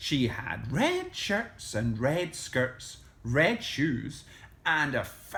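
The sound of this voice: This is an unforced reading voice. The words are simply read out.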